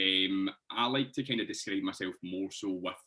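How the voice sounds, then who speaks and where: A man with a Scottish accent. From Scotland, Hamilton near Glasgow. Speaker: fitness coach. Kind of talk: casual podcast interview.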